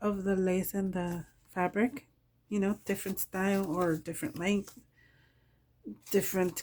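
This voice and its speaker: A woman's medium-pitched voice at a fairly slow pace, on a very clean recording with a silent background. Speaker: crafting YouTuber. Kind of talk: show-and-tell tutorial. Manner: casual, halting with fillers.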